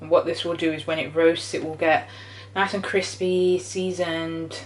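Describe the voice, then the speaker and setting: A woman with a British accent, fairly low in pitch and fairly slow in pace, over noticeable background noise. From Britain, British Jamaican. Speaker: cooking channel host. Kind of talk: cooking tutorial. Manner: casual, chatty.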